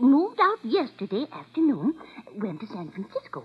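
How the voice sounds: Putting on a character voice, a woman speaks at a fairly high pitch with a husky, rough edge. Her pitch swings very widely at a moderate pace.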